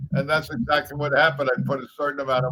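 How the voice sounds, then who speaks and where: Fairly even intonation from a man with an American accent and fairly high pitch, amid noticeable background noise. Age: 70s. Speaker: veteran pro bowler and Vietnam veteran. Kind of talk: casual interview conversation.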